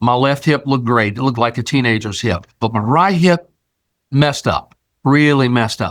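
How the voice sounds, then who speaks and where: At a moderate pace and very even loudness, a normal speaking voice comes through on a very clean recording with a silent background. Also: man, medium pitch for a man, ordinary pitch variation. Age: 60s. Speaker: show host sharing personal health testimony. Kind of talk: testimony. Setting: video recording on camera. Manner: casual, conversational.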